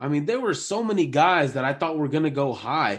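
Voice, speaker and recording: This man's pitch swings very widely, heard over a quiet background. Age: 20s. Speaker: sports podcast co-host. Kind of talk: casual chat. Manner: animated.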